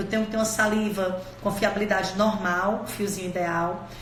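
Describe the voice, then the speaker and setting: Both noticeable background noise and audible room echo can be heard. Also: woman. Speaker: dentistry teacher. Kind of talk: live-streamed lecture. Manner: fast.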